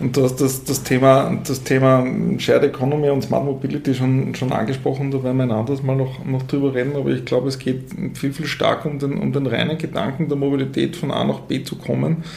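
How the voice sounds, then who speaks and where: A man of medium pitch with a Tyrolean accent talks at a fairly quick pace in a monotone, flat intonation, with audible room echo and noticeable background noise. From Austria, Tyrol. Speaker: management consultant. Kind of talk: interview. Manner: halting, many fillers and repetitions.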